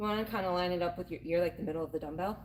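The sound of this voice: A woman speaks with a fairly bright tone. Her pitch variation is ordinary.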